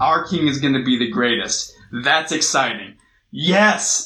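A man with an American accent projects a raised voice in a bright, sharp tone. He speaks at a fairly slow pace with lively intonation. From US West Coast, Long Beach, California. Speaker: youth pastor. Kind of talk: sermon. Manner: casual, conversational.

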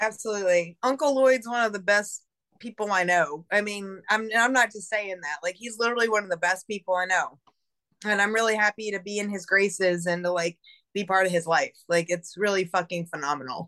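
Speaking at a fairly quick pace, a woman with an American accent has a normal speaking voice, a medium pitch and ordinary pitch variation. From Buffalo, New York. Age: 40s. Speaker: model and performer. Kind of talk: casual chat.

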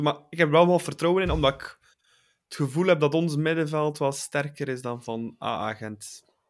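A man's normal speaking voice, fairly high-pitched, with ordinary pitch variation, on a very clean recording with a silent background. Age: 20s. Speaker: football podcast host. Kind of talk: casual chat.

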